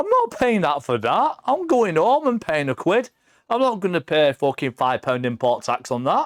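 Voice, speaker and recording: A high-pitched man speaks with an English accent at a moderate pace, his pitch swinging very widely. His loudness stays very even, and the sound is dry and close with no echo. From England. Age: 40s. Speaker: visiting friend, gamer and streamer. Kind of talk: casual chat. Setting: live stream podcast. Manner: animated.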